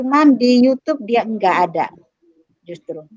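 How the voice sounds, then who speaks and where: Dry, close sound with no echo, a woman speaking with ordinary pitch variation. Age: middle-aged. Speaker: librarian and lecturer. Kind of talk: lecture. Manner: halting.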